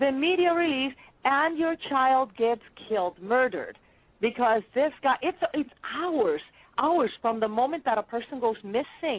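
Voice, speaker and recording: Speaking with a slight Spanish accent, a woman uses a high pitch and lively intonation. Her pace is fairly slow. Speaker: podcast host. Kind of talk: interview. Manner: animated.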